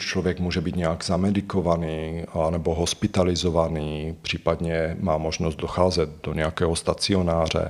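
A man's very deep, low voice in a Slovak accent, at a fairly slow pace. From Slovakia. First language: Slovak (speaking Czech). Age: 40s. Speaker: psychotherapist. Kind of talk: interview.

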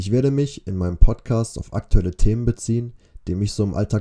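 A man speaks in a dark, mellow tone at a fairly low pitch. His pace is fairly quick, with ordinary pitch variation. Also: very clean recording, silent background. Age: 20s. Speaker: podcaster, student. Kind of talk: podcast intro monologue. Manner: casual.

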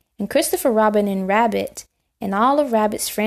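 Quiet background behind a natural reading voice of ordinary pitch variation

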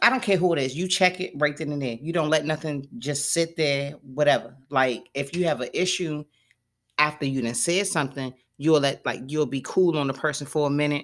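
On a very clean recording with a silent background, a woman speaks at a moderate pace in a very deep, low pitch. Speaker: podcast host. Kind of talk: casual chat.

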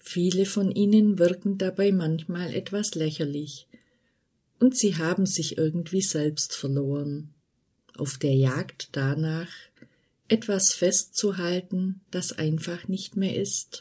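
At a very slow pace over a quiet background, a woman speaks in a fairly low, dark, mellow voice that is somewhat breathy. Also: ordinary pitch variation. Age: 40s. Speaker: podcast host. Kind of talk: scripted monologue.

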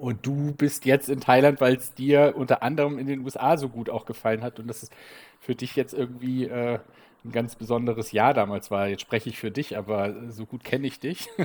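Using an ordinary speaking voice, a man talks at a medium pitch and a moderate pace with fairly even intonation and big swings in loudness. The recording is very clean, with a silent background. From Bremen, northern Germany. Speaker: podcast co-host, expat father. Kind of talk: casual chat.

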